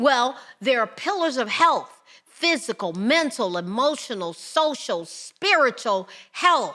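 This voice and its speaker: A woman's high, raised and projected voice in an American accent, bright and sharp in tone, with very wide pitch swings at a very slow pace. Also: very clean recording, silent background. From United States. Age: 60s. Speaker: podcast host. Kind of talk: podcast monologue.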